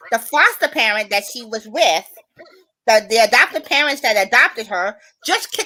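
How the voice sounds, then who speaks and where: Loud and bright with a sharp tone, a woman talks at a fairly quick pace with lively intonation. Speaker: live stream host. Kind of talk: casual chat.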